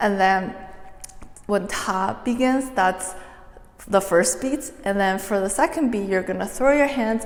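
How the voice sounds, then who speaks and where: Through noticeable background noise and audible room echo, a woman speaks at a fairly slow pace with a medium pitch and lively intonation. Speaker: dance tutorial creator. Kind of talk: tutorial. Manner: soft-spoken.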